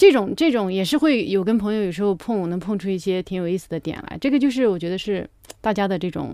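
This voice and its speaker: Talking at a very fast pace, a woman with a medium pitch and a dark, mellow tone uses lively intonation. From rural China. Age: 30s. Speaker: stand-up comedian. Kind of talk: casual chat.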